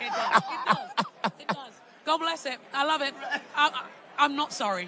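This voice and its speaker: A woman with a strong London accent uses a raised, projected voice at a high pitch, with very wide pitch swings and big swings in loudness. She talks at a fairly slow pace while crowd noise carries in the background. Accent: London English, kept strong. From London, England. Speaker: speaker and preacher. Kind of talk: interview.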